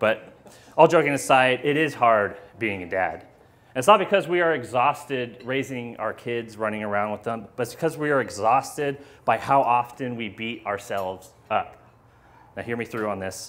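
With ordinary pitch variation, a man speaks at a moderate pace. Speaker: speaker. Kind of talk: sermon. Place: hall.

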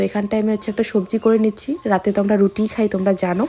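The speaker is a woman with a fairly high pitch. A dark, mellow tone colors her voice. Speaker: lifestyle vlogger. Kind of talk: casual vlog narration. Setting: home kitchen, handheld camera.

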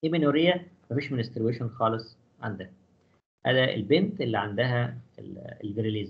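With audible room echo, a somewhat breathy man of medium pitch speaks at a moderate pace, with lively intonation and long, frequent pauses. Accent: Egyptian. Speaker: physiology professor. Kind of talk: lecture.

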